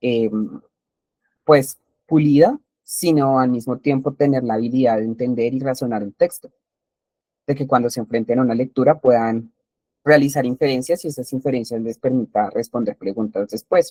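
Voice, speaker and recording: Dark and mellow in tone, a man speaks at medium pitch and a moderate pace with fairly even intonation. The sound is dry and close, with no echo. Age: 20s. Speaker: teacher. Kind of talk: lecture. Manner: halting, with many fillers.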